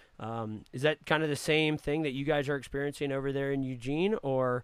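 A man with an ordinary speaking voice talks at a fairly quick pace and a fairly high pitch, with an American accent. The recording is very clean, with a silent background. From Virginia, north of Richmond. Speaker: podcast co-host. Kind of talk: casual interview chat.

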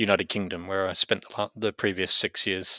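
In a very clean recording with a silent background and a dry, close sound with no echo, a man with an Australian accent speaks at fairly low pitch in a bright, sharp tone. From Australia (Brisbane). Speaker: bioethics academic, former atheist. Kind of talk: interview testimony.

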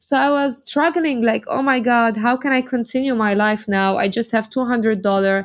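A woman's fairly high-pitched voice in an Arabic accent, moderate in pace with lively intonation, on a very clean recording with a silent background. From Lebanon. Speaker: model and entrepreneur. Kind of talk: interview.

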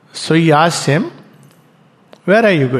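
Amid audible room echo, the voice swings very widely in pitch. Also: man. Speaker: spiritual teacher. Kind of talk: lecture.

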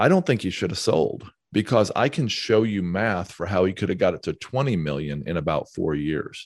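With lively intonation and a plain, everyday voice, a man speaks at a moderate pace and fairly low pitch on a very clean recording with a silent background. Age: 50s. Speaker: real estate investor and author. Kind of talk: interview.

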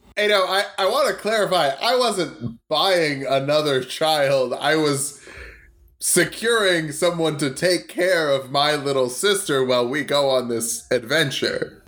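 In a normal speaking voice, a man talks at a fairly slow pace with a fairly high pitch, lively intonation and very even loudness, on a very clean recording with a silent background. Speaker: player in a D&D game. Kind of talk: casual comedic tabletop roleplay.

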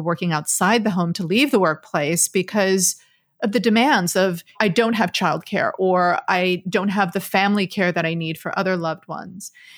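A woman with an American accent has a plain, everyday voice, speaking at a moderate pace. Her pitch varies in an ordinary way in a very clean recording with a silent background. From Texas, Dallas. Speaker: podcast host. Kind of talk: interview.

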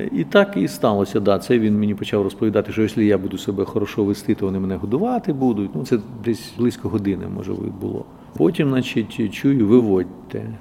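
Over noticeable background noise, a man talks fairly quickly in a fairly low voice with ordinary pitch variation. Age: old. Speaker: theatre director and regional councillor. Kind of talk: testimony interview.

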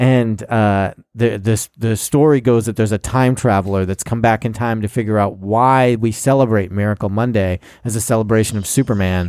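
A man speaks in an ordinary speaking voice at a moderate pace and medium pitch, with fairly even intonation. The recording is very clean, with a silent background. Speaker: comedy podcast co-host. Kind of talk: casual chat.

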